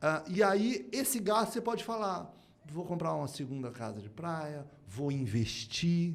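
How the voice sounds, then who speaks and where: Spoken at a fairly slow pace with very wide pitch swings and big jumps in loudness, the voice carries audible room echo. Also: man, fairly high pitch for a man. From Brazil, moved between Curitiba, Rio and Manaus. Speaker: speaker and writer on innovation. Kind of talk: podcast interview.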